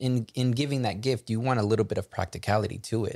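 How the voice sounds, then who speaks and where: At a fairly quick pace, a man with a medium pitch talks in a normal speaking voice with ordinary pitch variation and a dry, close sound with no echo. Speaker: podcast host. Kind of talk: casual chat.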